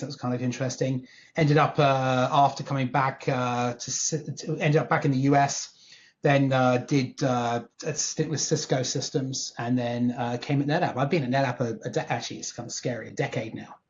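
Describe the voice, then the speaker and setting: Somewhat breathy and fairly quick, this voice comes with a southern England accent. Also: man. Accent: British English, southern England. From England, Northwest London. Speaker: tech executive. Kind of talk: podcast interview. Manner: animated.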